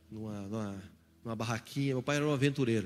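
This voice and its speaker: In an animated tone with ordinary pitch variation, a man speaks amid audible room echo. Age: 20s. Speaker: pastor. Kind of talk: sermon.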